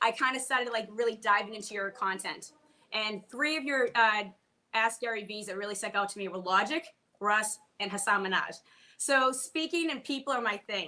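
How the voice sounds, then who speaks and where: In a Boston accent, a woman with fairly high pitch talks at a moderate pace, with ordinary pitch variation and big swings in loudness. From Boston, US. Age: 40s. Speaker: comedian and bartender. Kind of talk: casual chat.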